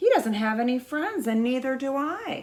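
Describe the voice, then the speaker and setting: In a put-on character voice, a female-sounding speaker pitches her voice high. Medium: read story.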